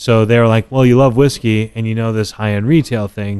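A man with an American accent and medium pitch talks at a fairly quick pace over a quiet background. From Texas, Dallas area. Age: 30s. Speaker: whisky brand ambassador. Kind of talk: casual chat. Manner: animated.

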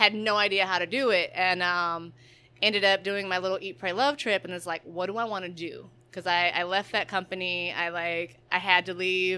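A woman speaks in an American accent at medium pitch and a moderate pace, with fairly even intonation. Her tone is bright and sharp, on a very clean recording with a silent background. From Detroit area, Michigan (Southfield). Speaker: baker and small business owner. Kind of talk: casual interview. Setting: in her kitchen.

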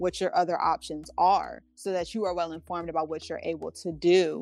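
A woman speaks fairly quickly in a monotone, flat delivery on a very clean recording with a silent background. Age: 20s. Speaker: birth and postpartum doula. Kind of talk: interview.

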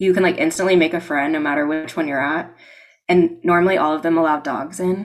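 With an American accent, a woman speaks at a fairly low pitch and a fairly quick pace, with fairly even intonation, in an unremarkable speaking voice. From Florida panhandle, US. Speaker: travel podcast co-host. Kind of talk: casual interview chat. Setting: video call.

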